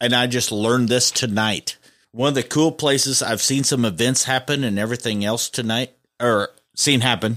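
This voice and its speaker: A man with an American accent speaks at a moderate pace in an animated tone, his medium pitch showing ordinary variation, on a very clean recording with a silent background. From US Midwest, rural northeast Missouri. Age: 40s. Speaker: podcast host, auto shop owner. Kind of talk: casual chat. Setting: studio.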